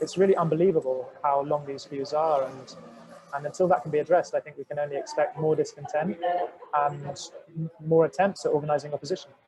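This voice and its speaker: A man talks at a very fast pace with a British accent. Noticeable background noise runs under his voice. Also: fairly high pitch for a man. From southern England, home counties. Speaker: journalist. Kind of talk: webinar discussion. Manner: halting, many repetitions.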